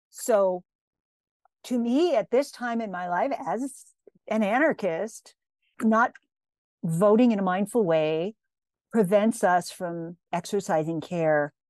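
Against a quiet background, a woman at medium pitch speaks with lively intonation and long, frequent pauses. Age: 60s. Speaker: sexologist and pleasure activist. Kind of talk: casual interview conversation.

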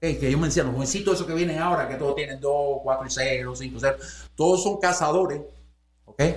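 A man's unremarkable speaking voice, fairly high in pitch, at a fairly quick pace with ordinary pitch variation. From Cuba. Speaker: boxing promoter and manager. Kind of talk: casual interview conversation.

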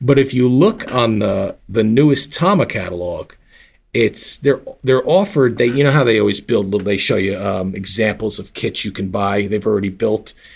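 A man talks at a moderate pace with ordinary pitch variation, in a very clean recording with a silent background. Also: medium pitch for a man. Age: 40s. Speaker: drum gear expert. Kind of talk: casual chat.

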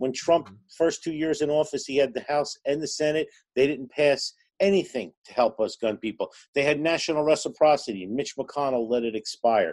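A man in a New Jersey accent, with fairly high pitch, lively intonation and a moderate pace, over a quiet background. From New Jersey, Newark. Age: 50s. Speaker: gun range owner. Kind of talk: casual chat.

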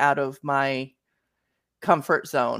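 In a very clean recording with a silent background, a woman speaks at a very slow pace. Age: 40s. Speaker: romance author. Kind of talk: casual interview chat.

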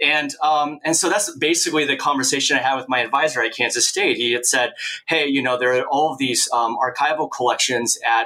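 Despite noticeable background noise, a man with an American accent talks at a fairly quick pace and fairly high pitch, with fairly even intonation and hardly any pauses. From Oregon, US Northwest. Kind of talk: interview. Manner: hesitant with frequent fillers.

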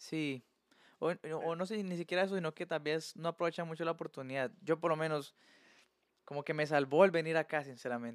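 A man speaks at a fairly quick pace with a fairly high pitch and fairly even intonation. The recording is very clean with a silent background and a dry, close sound with no echo. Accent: Colombian. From Colombia. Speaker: podcast guest, handyman. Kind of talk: casual chat.

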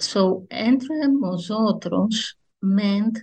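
A woman with a Greek accent, medium in pitch and somewhat breathy. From Greece, Athens. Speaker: history professor. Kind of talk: reading aloud; interview. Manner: hesitant, many fillers.

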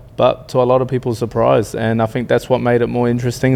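A man speaks in an Australian accent with monotone, flat intonation. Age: 30s. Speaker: reality TV contestant, builder. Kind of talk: casual interview chat.

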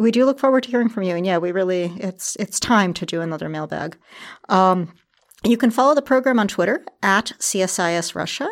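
Over a very clean recording with a silent background, a woman with an ordinary speaking voice talks at a medium pitch, a fairly quick pace and with lively intonation. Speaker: podcast host. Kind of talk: interview conversation. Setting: studio.

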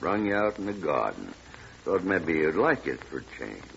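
Over faint background noise, a man in a put-on character voice speaks at an extremely low pitch with vocal fry, a fairly bright tone and big pitch swings. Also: moderate pace.

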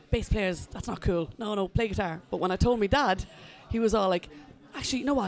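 This voice has an Irish accent and moves at a very fast pace. Its pitch varies in an ordinary way. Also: woman. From Ireland. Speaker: musician and music journalist. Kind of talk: casual interview chat.

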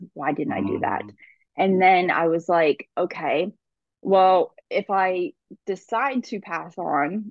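This is a woman speaking at a medium pitch. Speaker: breathwork teacher and crystal shop owner. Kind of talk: casual interview chat. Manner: strained breathing at times.

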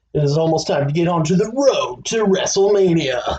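A put-on character voice at a middle pitch and a moderate pace. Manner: dramatic movie-trailer announcer voice.

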